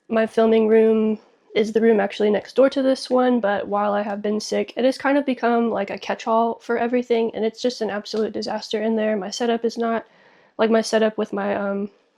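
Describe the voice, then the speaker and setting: Over a quiet background, a woman talks at a fairly quick pace in a fairly high pitch, her tone dark and mellow and her intonation monotone and flat. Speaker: toy collecting YouTuber. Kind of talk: casual vlog chat. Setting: guest room at home. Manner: frequent ums and fillers.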